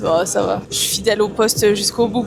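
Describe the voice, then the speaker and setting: A woman's fairly high-pitched voice at a moderate pace, with noticeable background noise. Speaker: vlogger. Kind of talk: casual vlog chat. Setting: on a sailboat at sea.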